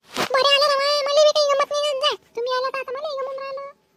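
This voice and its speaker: A woman uses a cartoonish character voice at an extremely high pitch, with monotone, flat intonation and a fairly quick pace. The sound is dry and close, with no echo. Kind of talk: cartoon comedy skit. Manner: rustic, loud.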